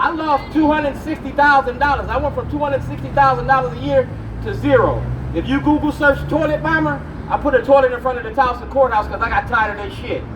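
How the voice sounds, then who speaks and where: Crowd noise runs in the background as a man speaks at a very fast pace. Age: 60s. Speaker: activist. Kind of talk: rally speech. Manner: animated.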